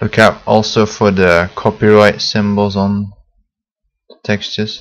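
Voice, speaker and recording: Here a man speaks at a fairly low pitch in a monotone, flat intonation. His pace is fairly slow. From Belgium. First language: Dutch. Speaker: software tutorial maker. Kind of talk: tutorial. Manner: hesitant, many fillers.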